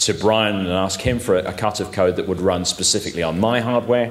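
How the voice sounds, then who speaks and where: With an English accent, a man talks at a very fast pace in a fairly low pitch, his pitch varying in an ordinary way, with noticeable background noise behind him. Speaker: amateur radio presenter. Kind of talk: technical talk. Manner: halting.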